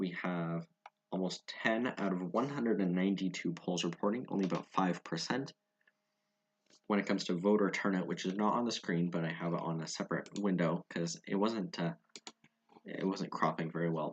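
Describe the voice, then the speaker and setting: A man with a Canadian accent speaks at a fairly quick pace. His pitch is very deep and low. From Ontario, Canada. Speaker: election live streamer. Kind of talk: live commentary. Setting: live stream. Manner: monotone; halting.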